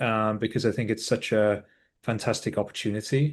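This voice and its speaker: A man with a British accent talks at a fairly quick pace in fairly even intonation against a quiet background. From UK. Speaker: ed-tech executive. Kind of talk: interview. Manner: hesitant, many fillers.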